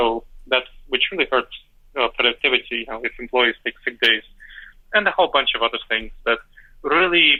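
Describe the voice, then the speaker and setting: This man speaks with a former Soviet accent at a medium pitch and ordinary pitch variation. His pace is fairly quick, broken by long, frequent pauses. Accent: former Soviet Union accent, kept. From Moldova, moved to New York City at 10. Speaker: decision-making scholar and author. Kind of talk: interview.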